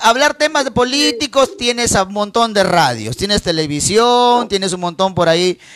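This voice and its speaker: A man speaks at a moderate pace, his pitch swinging very widely in an animated tone. The sound is dry and close, with no echo. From Peru, northern highlands (Cajabamba, raised in Trujillo). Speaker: live-stream host taking listener calls. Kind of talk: late-night adult call-in show.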